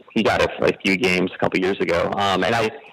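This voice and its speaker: A man speaks at a very fast pace in a dry, close recording with no echo. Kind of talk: casual chat.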